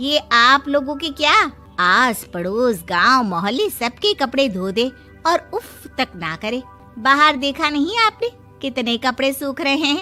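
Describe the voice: In a put-on character voice, a woman speaks at a high pitch with a bright, sharp tone, big pitch swings, a fairly slow pace and few pauses, while faint music plays in the background.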